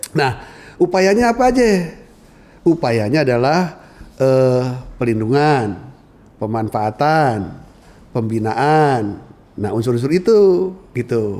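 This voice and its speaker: A man with a Jakarta accent speaks at a very slow pace. He leaves long, frequent pauses. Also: medium pitch for a man, lively intonation. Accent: central Betawi dialect, with 'e' endings. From central Betawi, Jakarta. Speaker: Betawi culture expert. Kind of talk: podcast conversation. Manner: casual, colloquial.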